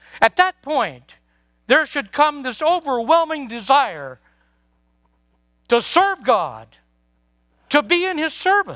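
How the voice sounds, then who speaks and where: Very slowly, with long and frequent pauses, a man projects a raised voice at an extremely high pitch and with lively intonation. His tone is bright and sharp, and the sound is dry and close with no echo. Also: very clean recording, silent background. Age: 70s. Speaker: preacher. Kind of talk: sermon.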